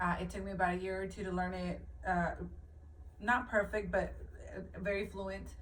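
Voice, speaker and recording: Audible room echo surrounds a woman speaking at a moderate pace, broken by long, frequent pauses. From New Mexico, US (born in Mexico). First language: Spanish. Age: 40s. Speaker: motivational video maker. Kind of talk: personal testimony, live video. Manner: halting, many fillers.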